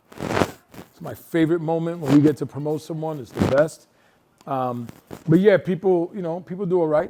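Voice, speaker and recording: Animated and fairly high-pitched, a man with a New York accent speaks with ordinary pitch variation and big swings in loudness. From New York City. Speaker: nonprofit executive director, harm reduction. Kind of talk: talk with audience Q&A. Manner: fast; casual, animated.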